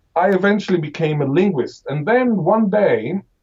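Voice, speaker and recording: Breathing somewhat audibly through his words, a man speaks at a moderate pace with lively intonation. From Israel. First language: Hebrew (Israeli). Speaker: professor of linguistics. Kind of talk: interview.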